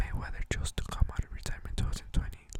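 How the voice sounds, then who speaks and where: A man is whispering. There is noticeable noise in the background. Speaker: ASMR video creator. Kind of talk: ASMR ramble on boxing facts. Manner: soft-spoken, whispered.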